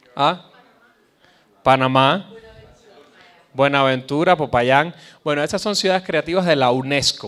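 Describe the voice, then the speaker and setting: With a Caribbean Spanish accent, a man speaks at a moderate pace and medium pitch, using ordinary pitch variation. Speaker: conference speaker on cultural policy. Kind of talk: lecture.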